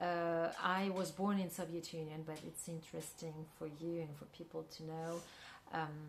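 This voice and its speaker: A woman speaks at a moderate pace in a monotone, flat way. Audible room echo surrounds her voice. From Central Asia, Kyrgyzstan. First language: Russian. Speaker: filmmaker and actress. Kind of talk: interview. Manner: halting, many fillers.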